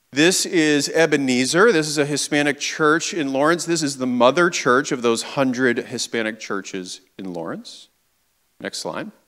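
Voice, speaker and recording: Speaking at a moderate pace, a man has a plain, everyday voice, a fairly high pitch and lively intonation. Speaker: advocacy group community director. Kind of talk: guest presentation in church service. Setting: church with audience and slides. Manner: conversational, engaging.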